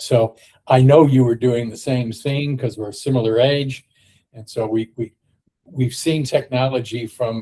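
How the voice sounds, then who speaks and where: At a fairly slow pace, a man with an American accent speaks in a dark, mellow, somewhat breathy voice of medium pitch, monotone and flat in intonation. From United States. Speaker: technology consultant. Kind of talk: casual chat.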